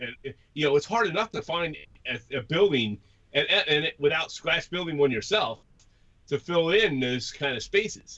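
This man has a normal speaking voice at fairly high pitch. He goes at a moderate pace with lively intonation. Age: 50s. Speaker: podcast co-host, model railroader. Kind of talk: casual interview chat.

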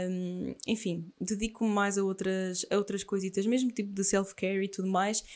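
With a European Portuguese accent, a woman of medium pitch talks at a moderate pace in a monotone, flat intonation. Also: hardly any pauses. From Portugal, Aveiro. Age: 20s. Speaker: podcast host, former bodybuilder. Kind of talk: casual monologue.

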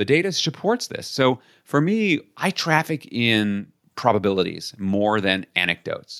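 In a very clean recording with a silent background, a man with an American accent speaks with very wide pitch swings. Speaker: leadership consultant and author. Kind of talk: interview.

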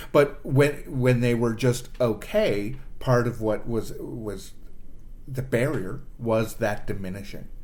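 Speaking at a very slow pace with a Canadian accent, a man keeps a medium pitch and fairly even intonation amid audible room echo. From Canada, Toronto. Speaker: improv performer and producer. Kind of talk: casual chat.

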